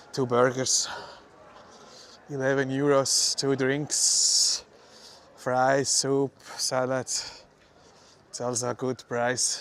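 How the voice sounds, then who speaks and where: Against noticeable background noise, a man with a Swiss German accent speaks at a very slow pace in a medium pitch, with a monotone, flat intonation and long, frequent pauses. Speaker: livestreamer, city walk vlogger. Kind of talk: live walking tour commentary. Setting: outdoors, city streets. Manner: casual, halting with fillers.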